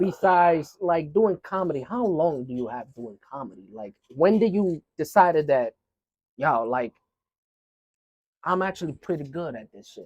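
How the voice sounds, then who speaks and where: A man with a fairly high voice uses lively intonation at a moderate pace. The sound is dry and close, with no echo. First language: not English. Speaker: podcast host. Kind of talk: casual chat.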